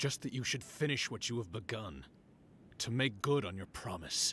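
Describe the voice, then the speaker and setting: Using a put-on character voice, a man speaks at a medium pitch with lively intonation and a moderate pace. Clear background noise is present. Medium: machinima. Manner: terse, blunt.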